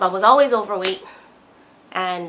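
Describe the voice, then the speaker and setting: A woman's voice sits at medium pitch with a bright, sharp tone. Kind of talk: personal vlog diary talk to camera. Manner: hesitant, stuttering.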